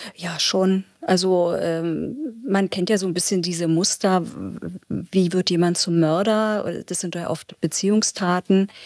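At a very slow pace, a woman speaks with medium pitch and fairly even intonation. The recording is very clean, with a silent background and a dry, close sound with no echo. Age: 50s. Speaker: probation officer. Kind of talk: interview.

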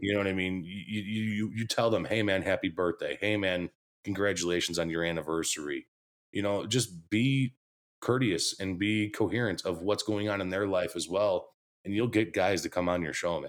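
A man with an American accent speaks at a moderate pace in an unremarkable speaking voice, fairly low in pitch with ordinary pitch variation, on a very clean recording with a silent background. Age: 30s. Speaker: sports podcast host. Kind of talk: casual chat.

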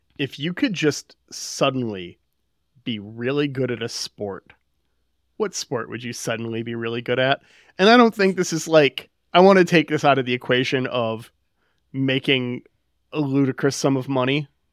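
The man, medium in pitch, speaks at a moderate pace with lively intonation and long, frequent pauses, in a dry, close sound with no echo. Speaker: podcast co-host. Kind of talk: casual chat.

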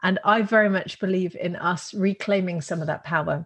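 Fairly low-pitched and somewhat breathy, a woman speaks with fairly even intonation. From Netherlands. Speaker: business school founder, entrepreneur. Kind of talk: interview.

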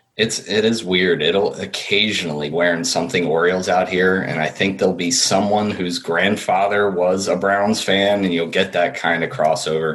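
An American accent at a moderate pace, with very even loudness, hardly any pauses and fairly even intonation over noticeable background noise. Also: man, very deep, low pitch for a man. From central New Jersey. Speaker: sports fan guest. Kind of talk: casual chat.

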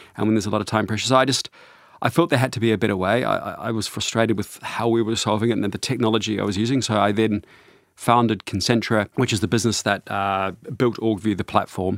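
A man in a New Zealand accent, very fast, with fairly even intonation. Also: fairly low pitch for a man, very clean recording, silent background. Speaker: CEO and author on organization design. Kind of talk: interview. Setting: studio.

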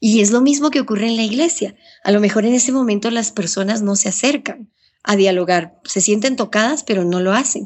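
A woman talks at a fairly quick pace with a fairly high pitch and ordinary pitch variation. Her voice is somewhat breathy, with very even loudness. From Ecuador. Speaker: journalist and radio broadcaster. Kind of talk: interview.

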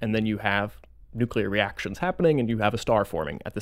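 In a very clean recording with a silent background, a man with an American accent uses a plain, everyday voice, fairly low in pitch, speaking at a fairly quick pace with lively intonation. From Florida, US. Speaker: astronomy professor. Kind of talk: interview.

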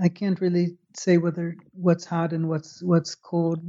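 Speaking with an American accent, a man uses a high pitch and monotone, flat intonation at a moderate pace. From US Midwest, Chicago. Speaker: retired neuroscientist. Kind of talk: interview explaining research. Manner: halting with repetitions.

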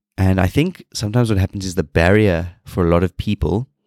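Very fast speech with a South African accent, on a very clean recording with a silent background and a dry, close sound free of echo. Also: man. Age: 30s. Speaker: fitness podcast host, personal trainer. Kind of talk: solo podcast monologue.

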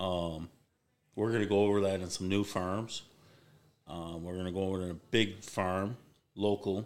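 A man with a very deep, low pitch speaks in a flat monotone at a moderate pace. He takes long, frequent pauses. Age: 50s. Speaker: hunting business owner. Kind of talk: casual chat. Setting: business headquarters.

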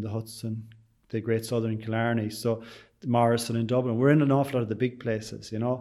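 A man with an Irish accent talks at a moderate pace. His medium-pitched voice stays monotone, with flat intonation. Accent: Irish (Sligo). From Ireland, County Sligo. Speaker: bakery and tea room owner. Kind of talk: interview.

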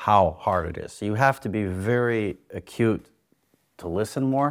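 On a very clean recording with a silent background, a man with an American accent speaks in a normal speaking voice at a fairly low pitch, with ordinary pitch variation. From USA. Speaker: divorced husband sharing advice. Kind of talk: casual interview.

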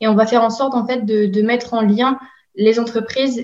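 Somewhat breathy and fairly high, a woman's voice holds a monotone, flat intonation. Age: 20s. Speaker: recruitment apprentice and bachelor's student. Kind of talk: interview. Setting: remote call.

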